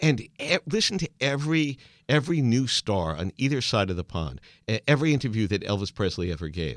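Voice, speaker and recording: This man's voice has very wide pitch swings and vocal fry, recorded dry and close with no echo on a very clean, silent background. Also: medium pitch for a man, fairly quick pace. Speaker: podcast host. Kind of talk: interview, casual chat.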